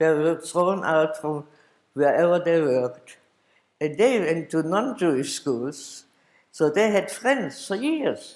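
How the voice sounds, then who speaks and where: With a high pitch and lively intonation, a man speaks at a very slow pace. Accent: German. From Germany, Dresden. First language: German. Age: 80s+. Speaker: Holocaust survivor. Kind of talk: testimony. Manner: halting.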